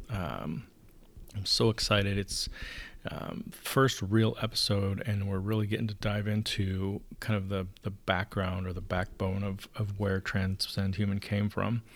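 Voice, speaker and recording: Quiet and fairly slow, a man talks in a fairly low, monotone voice with flat intonation. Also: very clean recording, silent background. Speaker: podcast host. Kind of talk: solo podcast monologue. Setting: home recording. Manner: hushed.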